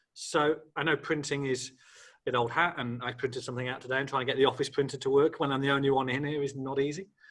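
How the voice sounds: Speaking fast at a medium pitch, a man keeps little pitch movement and a fairly bright tone.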